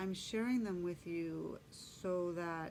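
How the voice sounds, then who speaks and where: Speech at a very slow pace carries audible echo from the room. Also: woman. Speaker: spiritual vlogger, shamanic journeyer. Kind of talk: personal testimony monologue. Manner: hesitant with fillers.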